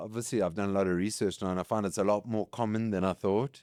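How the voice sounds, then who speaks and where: A man's fairly low voice with a South African accent at a very fast pace, dry and close with no echo, on a very clean recording with a silent background. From South Africa, KwaZulu-Natal. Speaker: competitive hybrid athlete and business executive. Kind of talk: casual chat.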